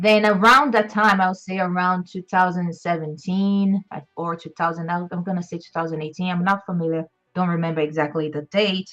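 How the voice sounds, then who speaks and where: With music in the background, a woman with a Portuguese accent talks at a fairly quick pace in a fairly low pitch with fairly even intonation. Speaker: behavior analyst. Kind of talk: interview. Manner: halting, many fillers and repeats.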